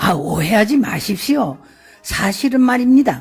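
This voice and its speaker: Over faint background music, a man does a raspy, put-on character voice at a high pitch and a moderate pace. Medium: audio drama. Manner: polite, composed.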